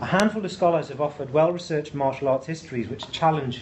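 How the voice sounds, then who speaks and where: A man is speaking. Light background noise is present. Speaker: presenter. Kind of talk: lecture. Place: classroom.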